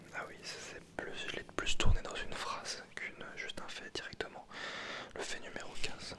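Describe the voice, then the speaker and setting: Whispering at a moderate pace over noticeable background noise, a man varies his loudness a great deal. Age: 20s. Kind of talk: ASMR video. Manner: whispered.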